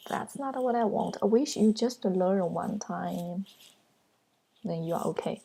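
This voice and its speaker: A woman talks at a medium pitch in a dark, mellow tone, somewhat breathy, with ordinary pitch variation. Her speech has long, frequent pauses. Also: fairly slow pace. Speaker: online writing teacher. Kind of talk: video lesson intro. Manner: forceful, not gentle.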